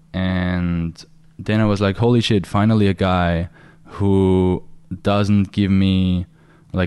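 A man with a German accent has a very deep, low pitch and fairly even intonation. The recording is very clean with a silent background. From Austria. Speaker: dating coach. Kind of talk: casual chat.

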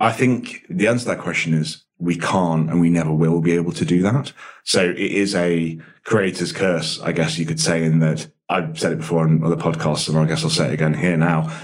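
This man's voice is very deep and low, moving at a fairly quick pace with ordinary pitch variation and very even loudness. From English Midlands (Nottinghamshire), born in Dublin. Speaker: coffee business founder. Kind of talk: interview.

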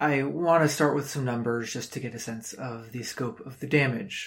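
At a medium pitch, a man speaks in a somewhat breathy voice with fairly even intonation. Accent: American. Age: 20s. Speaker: climate podcast host. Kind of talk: solo commentary podcast. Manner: frequent fillers and repetitions.

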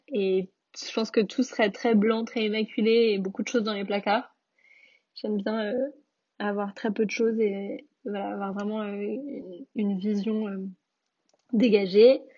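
The voice is somewhat breathy and fairly slow, with a flat, monotone delivery broken by long, frequent pauses. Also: woman, fairly high pitch for a woman. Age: 20s. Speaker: food entrepreneur. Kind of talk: interview.

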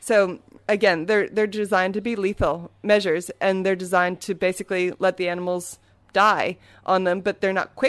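A woman with an American accent, monotone and flat, at a moderate pace. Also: medium pitch for a woman. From US East Coast, Maryland near Washington DC. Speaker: shark scientist and author. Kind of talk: interview. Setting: at home, recording on location.

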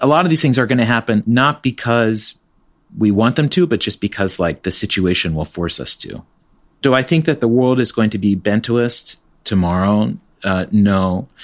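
A man has an unremarkable speaking voice at a medium pitch. He talks at a moderate pace with lively intonation. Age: 40s. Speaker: tech company co-founder. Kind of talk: interview. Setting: remote interview, guest at home.

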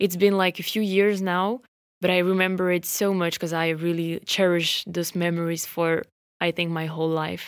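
A woman with a French accent speaks at a fairly low pitch in a monotone, flat intonation. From France. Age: 20s. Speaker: podcast host. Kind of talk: casual personal storytelling. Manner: rambling, many fillers.

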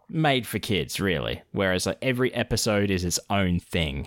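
A man talks with an Australian accent and ordinary pitch variation. The recording is very clean with a silent background, and the sound is dry and close with no echo. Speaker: podcast co-host. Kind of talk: casual chat.

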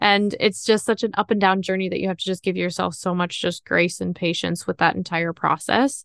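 Talking at a fairly quick pace with hardly any pauses, a woman with a slight Upper Midwest accent shows ordinary pitch variation. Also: medium pitch for a woman. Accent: slight Minnesotan-Canadian-like Upper Midwest. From northern Wisconsin. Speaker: small business founder and inventor. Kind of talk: interview.

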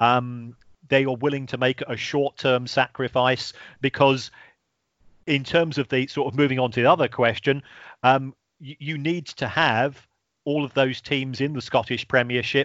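A man of medium pitch speaks at a moderate pace in a monotone, flat intonation. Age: 50s. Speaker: football finance lecturer. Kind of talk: podcast interview. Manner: halting.

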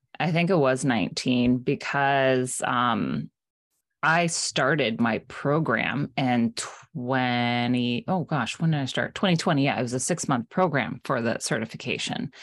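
In an American accent, a woman speaks at a fairly slow pace with a very deep, low pitch and ordinary pitch variation. Her loudness stays very even against a quiet background. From South Florida. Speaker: life coach and podcaster. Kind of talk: casual chat.

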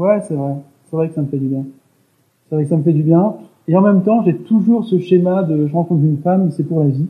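A man with a high voice, fairly quick delivery broken by long, frequent pauses, and ordinary pitch variation. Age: 30s. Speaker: interviewee sharing personal story. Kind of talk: casual interview. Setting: remote call. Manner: soft-spoken; halting. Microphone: poor recording quality.

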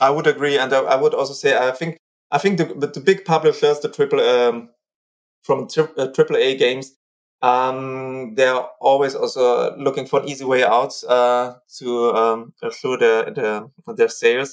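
A man with a German accent speaks at a fairly slow pace, his intonation fairly even. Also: medium pitch for a man. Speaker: cultural historian. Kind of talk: interview. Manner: hesitant.

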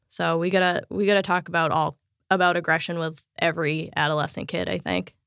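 A woman with a fairly low pitch and vocal fry talks at a fairly quick pace in a monotone, flat intonation. The recording is very clean, with a silent background. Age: 30s. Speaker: podcaster and bass player. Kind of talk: interview. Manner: casual, filler-heavy.

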